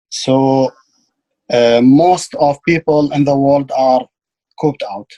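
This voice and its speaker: Speaking very slowly with an Arabic accent, a man has a fairly high pitch and a dark, mellow tone. His intonation is fairly even, and the sound is dry and close with no echo. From Iraq. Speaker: ESL student. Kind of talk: lesson. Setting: video call. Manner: halting.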